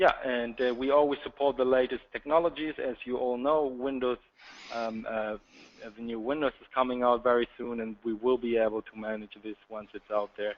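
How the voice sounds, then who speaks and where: Speaking with a slight German accent, a man shows big swings in loudness. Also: medium pitch for a man, fairly even intonation, moderate pace. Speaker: sales account manager. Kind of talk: webinar presentation. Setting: online webinar.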